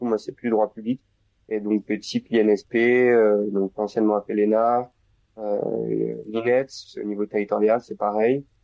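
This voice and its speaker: This man's voice sits fairly low in pitch. His delivery stays monotone and flat. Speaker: law student. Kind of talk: casual chat.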